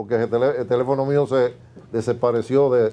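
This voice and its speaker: At a moderate pace, a man speaks in a dark, mellow tone with monotone, flat intonation. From Dominican Republic. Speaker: politician and former agrarian official; interview guest. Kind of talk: TV interview. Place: studio. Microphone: lapel.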